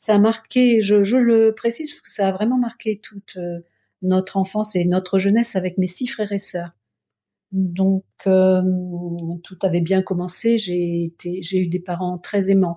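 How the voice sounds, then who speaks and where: A woman speaks at a fairly slow pace with medium pitch, fairly even intonation and big swings in loudness. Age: 60s. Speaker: Buddhist practitioner. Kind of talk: testimony. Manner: halting.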